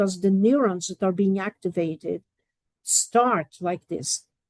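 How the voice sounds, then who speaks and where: Speaking with a Portuguese accent, a woman talks at a very slow pace with lively intonation. The sound is dry and close, with no echo. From Portugal. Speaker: professor. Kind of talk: lecture.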